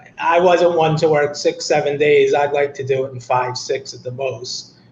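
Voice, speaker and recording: There is noticeable background noise as a man speaks in a fairly high voice. His loudness swings widely. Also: fairly even intonation, moderate pace. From Boston, Massachusetts. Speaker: rideshare driver. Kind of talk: interview.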